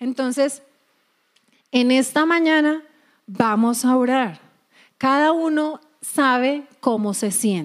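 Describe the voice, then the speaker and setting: A high-pitched woman talks at a very slow pace with long, frequent pauses, very even loudness and ordinary pitch variation. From Colombia. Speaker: preacher. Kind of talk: sermon.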